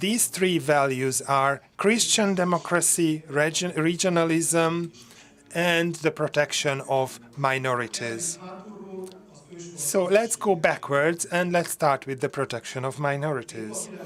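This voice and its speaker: A man in a Hungarian accent speaks at a fairly slow pace, with a fairly high pitch and ordinary pitch variation. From southern Slovakia, Hungarian minority (Levice). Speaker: conference speaker. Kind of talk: conference speech. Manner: halting.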